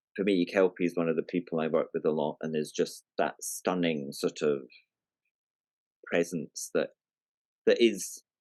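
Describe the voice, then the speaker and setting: A Scottish man speaks with an accent in a dry, close recording with no echo. He leaves long pauses, and often. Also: moderate pace. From Scotland. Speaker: writer and storyteller, environmentalist. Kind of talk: podcast interview. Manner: halting, with fillers and repeats.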